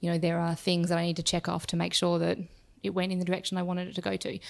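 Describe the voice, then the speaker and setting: With an Australian accent, a woman speaks in a fairly low pitch and monotone, flat intonation in a very clean recording with a silent background. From Perth, Western Australia. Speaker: startup CEO. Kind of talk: interview.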